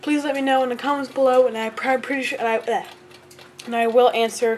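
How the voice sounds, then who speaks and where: Over noticeable background noise, a woman talks fairly quickly. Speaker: antique clock collector. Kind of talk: casual talk to camera.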